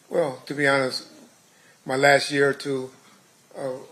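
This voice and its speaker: Man with an American accent at a medium pitch, with noticeable background noise. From Compton, California (US West Coast). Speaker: trial witness, retired police officer. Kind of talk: court testimony. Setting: courtroom. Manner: halting.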